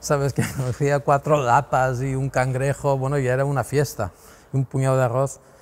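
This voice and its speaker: The speech moves at a fairly slow pace in a flat monotone. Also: man. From Mallorca. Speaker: painter; interviewee. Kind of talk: interview answer. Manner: rambling, hesitant. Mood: relaxed, reminiscing. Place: workshop. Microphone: lapel.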